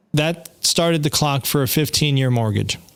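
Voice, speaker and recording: Fairly high in pitch, the man's unremarkable speaking voice shifts in pitch in an ordinary way. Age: 50s. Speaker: podcast host. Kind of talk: casual chat. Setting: live stream.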